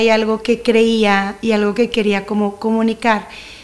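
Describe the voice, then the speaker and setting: At a moderate pace, a woman talks in a fairly high pitch over noticeable background noise. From Mexico, Monterrey. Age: 30s. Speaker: church leader and singer. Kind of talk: casual chat. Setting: studio.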